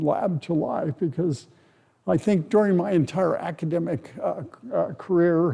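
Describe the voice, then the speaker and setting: A man with an American accent talks fairly slowly in a high pitch, his intonation lively and his tone dark and mellow. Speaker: materials scientist. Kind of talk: lecture. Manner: soft-spoken; halting. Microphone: close to the mic.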